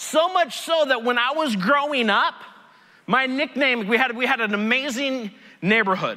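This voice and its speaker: An extremely high-pitched man in a raised, projected voice, animated in tone, with noticeable background noise. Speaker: pastor. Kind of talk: sermon. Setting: church stage with audience. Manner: loud.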